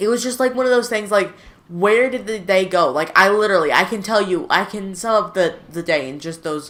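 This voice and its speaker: This woman's voice sits at a medium pitch. She speaks at a fairly quick pace. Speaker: gaming youtuber. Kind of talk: gameplay commentary. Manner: flat, not very excited-sounding.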